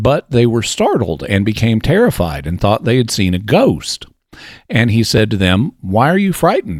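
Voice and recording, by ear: The text is read aloud in a natural voice.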